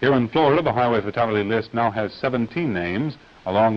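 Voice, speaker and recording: In a plain, everyday voice, a man talks at a moderate pace with a medium pitch and ordinary pitch variation. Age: 20s. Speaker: news anchor. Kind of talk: TV news broadcast read.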